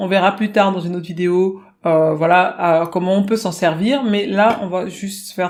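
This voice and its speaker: A woman with an ordinary speaking voice talks at a medium pitch and a fairly slow pace, with fairly even intonation. The recording is very clean, with a silent background. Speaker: singing teacher. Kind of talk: tutorial.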